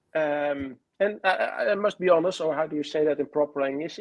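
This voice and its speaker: The speaker has a Dutch accent. This man's delivery is moderately paced. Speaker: author and fan historian. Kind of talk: interview. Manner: halting, many fillers.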